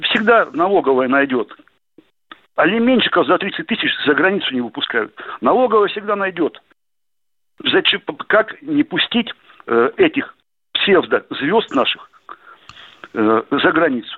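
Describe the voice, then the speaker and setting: At a fairly slow pace, a high-pitched man speaks with very wide pitch swings and long, frequent pauses. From Russia, Novosibirsk. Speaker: caller. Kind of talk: radio call-in question. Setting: phone call.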